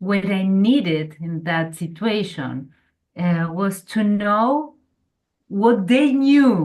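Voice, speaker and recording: A woman talks at a very slow pace with a Spanish accent. Her medium-pitched voice has lively intonation. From Argentina. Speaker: workshop participant. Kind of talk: group discussion.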